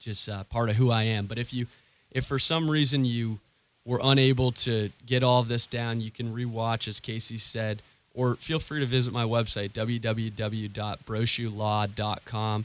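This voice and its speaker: A man of medium pitch at a moderate pace, with fairly even intonation and an American accent. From Maine, US. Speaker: lawyer. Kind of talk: radio interview. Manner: halting, many fillers.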